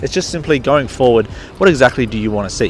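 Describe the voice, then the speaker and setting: A man's medium-pitched voice with an Australian accent at a very fast pace, with ordinary pitch variation and noticeable background noise. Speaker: sneaker reviewer and youtuber. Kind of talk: casual talk to camera.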